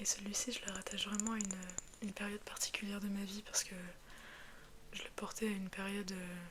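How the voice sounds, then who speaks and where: A soft-spoken woman's medium-pitched voice, very fast yet broken by long, frequent pauses, flat and monotone, over noticeable background noise. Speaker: ASMR creator. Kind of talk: ASMR casual talk to camera.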